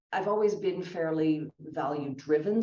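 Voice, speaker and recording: A woman's very deep, low voice with ordinary pitch variation and audible room echo. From Canada. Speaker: career speaker, former consultant. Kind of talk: fireside chat interview.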